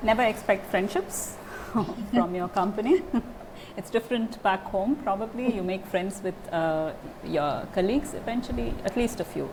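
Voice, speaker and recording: A woman with a medium pitch and ordinary pitch variation talks at a moderate pace, with noticeable background noise around her. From India. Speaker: German teacher. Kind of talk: interview answer.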